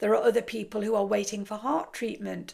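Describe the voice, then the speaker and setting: A woman with an English accent and vocal fry, fairly high pitch, ordinary pitch variation, moderate pace, very clean recording with a silent background. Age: 60s. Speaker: kickboxer and biker. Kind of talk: casual talk to camera.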